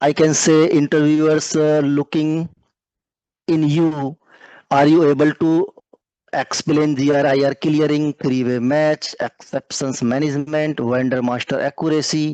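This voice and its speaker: At a fairly slow pace, a man talks in a monotone, flat way at a fairly high pitch. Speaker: career mentor teaching a finance session. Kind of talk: lecture. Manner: slow, deliberate explanation.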